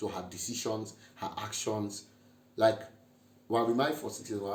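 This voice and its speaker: The somewhat breathy voice carries audible room echo. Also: man. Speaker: married couple vlogger. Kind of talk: casual chat.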